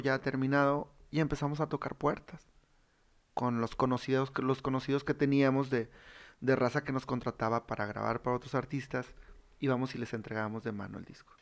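A man speaks at a moderate pace in an ordinary speaking voice. The background is quiet. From Monterrey, northern Mexico (raised there since 1995). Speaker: regional Mexican musician. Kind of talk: casual chat.

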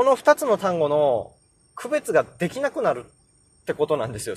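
This man's pitch swings very widely. The sound is dry and close, with no echo. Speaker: podcaster teaching English pronunciation. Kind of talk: casual solo podcast talk. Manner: hesitant with many fillers.

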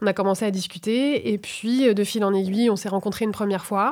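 This woman speaks at a medium pitch with fairly even intonation. It is a plain, everyday voice. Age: 30s. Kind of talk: casual conversation.

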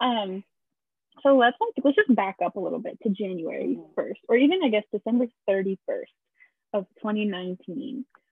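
A woman with a plain, everyday voice, fairly high in pitch, talks at a moderate pace with ordinary pitch variation. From Massachusetts, born in Brazil. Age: 20s. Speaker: podcast co-host. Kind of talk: casual chat.

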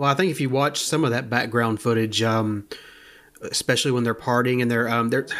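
In a very clean recording with a silent background, a man speaks at a medium pitch. He has an ordinary speaking voice with fairly even intonation. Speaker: podcast co-host. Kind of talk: film commentary, casual chat.

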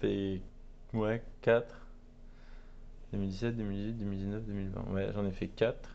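Speaking at a very slow pace with long, frequent pauses, a man has a fairly low pitch and a dark, mellow tone. His intonation is monotone and flat, with audible room echo. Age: 20s. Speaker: artisan soap maker, entrepreneur. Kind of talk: interview. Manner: hesitant, many fillers.

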